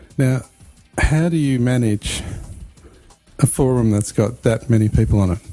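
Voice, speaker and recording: Music plays in the background as a man of medium pitch speaks with fairly even intonation. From Australia. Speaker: podcast host. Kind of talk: casual interview.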